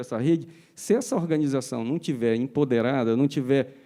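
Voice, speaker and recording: A man with a northern Brazilian accent speaks at a moderate pace, his tone dark and mellow with ordinary pitch variation, over a quiet background. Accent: northern Brazilian, non-São Paulo. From Pará, Brazil. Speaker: foundation executive. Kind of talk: panel discussion.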